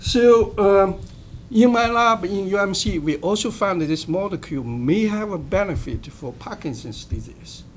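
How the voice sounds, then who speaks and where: Speech comes at a medium tempo. A non-native accent is present. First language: not English. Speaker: medical researcher. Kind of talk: roundtable presentation. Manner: halting, many fillers.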